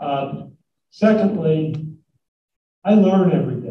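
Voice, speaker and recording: A man's voice carries audible room echo. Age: 80s+. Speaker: business executive giving a talk. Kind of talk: talk with Q&A to students. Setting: college hall with live audience. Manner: halting, many fillers.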